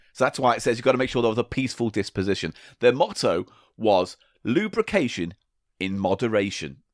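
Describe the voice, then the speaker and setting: On a very clean recording with a silent background, a man with an English accent and a medium pitch talks at a fairly quick pace with lively intonation. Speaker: podcast co-host. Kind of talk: casual comedic chat.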